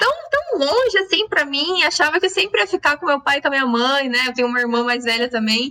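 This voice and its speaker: A woman talks very fast in a high, raised, projected voice. Her intonation is lively while her loudness stays very even. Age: young. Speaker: podcast host. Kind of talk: casual chat.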